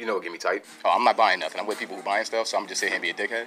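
A man speaks at a very fast pace. Noticeable background noise runs behind him. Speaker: comedy vlogger. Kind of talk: casual comedic vlog rant. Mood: playful, joking. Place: shop. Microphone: phone near.

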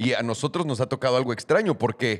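Against a quiet background, a man with a Mexican accent speaks at a moderate pace. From Mexico. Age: 30s. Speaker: podcast host. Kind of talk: casual chat. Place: studio. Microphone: studio mic.

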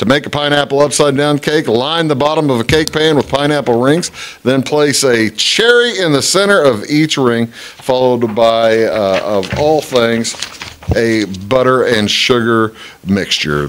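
A man at a fairly slow pace, with ordinary pitch variation and light background noise. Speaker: local talk show host. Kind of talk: community announcements read aloud. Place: studio. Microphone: studio mic.

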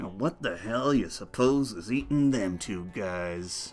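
A man's fairly low voice at a fairly slow pace, with clear background noise. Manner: blunt, callous.

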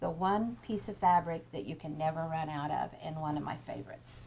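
A woman's voice with an American accent, a dark, mellow tone, ordinary pitch variation and a moderate pace. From Kansas. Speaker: quilting teacher. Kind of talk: tutorial. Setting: live webinar.

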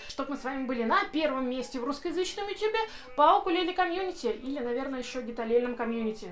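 A woman speaks at a very fast clip in a high voice. Faint music plays in the background. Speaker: music channel host. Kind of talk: casual unboxing review. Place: home room.

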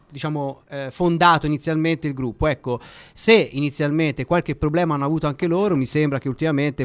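A man's voice with ordinary pitch variation. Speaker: sports radio host. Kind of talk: radio interview. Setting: studio. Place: studio.

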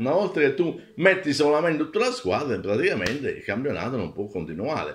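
Over light background noise, a man's fairly high voice moves through very wide pitch swings. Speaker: video blogger. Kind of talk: angry rant, indignant opinion monologue. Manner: indignant, emphatic, ranting; halting, with frequent fillers and restarts. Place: home room. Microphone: phone near.

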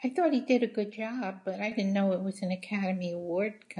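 Somewhat breathy, this voice holds a moderate pace with ordinary pitch variation. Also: woman. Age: 70s. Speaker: interviewed mother. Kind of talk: interview answer. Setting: video call. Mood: chatty, opinionated. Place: home room. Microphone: video call.

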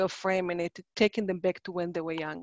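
A woman speaks with an Israeli accent. The background is quiet, and the sound is dry with no echo. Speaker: psychologist and workshop presenter; presenter. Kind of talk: online workshop presentation. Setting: video call. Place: home room. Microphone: webcam.

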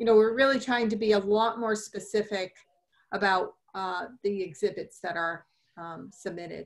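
A woman speaks at a moderate pace with fairly even intonation. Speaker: commission member. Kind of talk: public meeting. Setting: video call. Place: home room. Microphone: video call.

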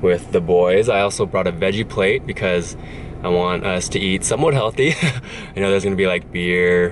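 A man with a low pitch speaks at a moderate pace over clear background noise.

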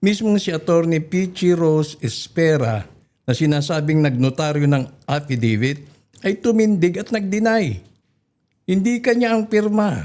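This man's voice sits high for a man and has a dark, mellow tone. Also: lively intonation, moderate pace. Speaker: news commentator. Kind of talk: news commentary with clips.

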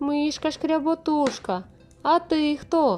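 A woman's put-on character voice at a high pitch and fairly slow pace, with faint music in the background. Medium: read story.

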